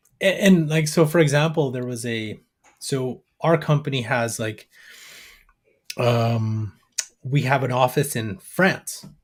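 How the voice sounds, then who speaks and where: Breathy in a slight way, a man speaks very slowly with long, frequent pauses and ordinary pitch variation. He has a Canadian accent, and the recording is very clean with a silent background. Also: medium pitch for a man. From Canada, Alberta. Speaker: AI business educator. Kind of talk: interview.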